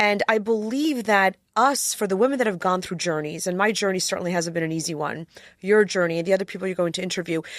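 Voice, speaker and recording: Her pace is very fast. The woman's voice sits at a medium pitch. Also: ordinary pitch variation. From Poland, raised in US from age seven. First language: Polish. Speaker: attorney. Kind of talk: interview conversation.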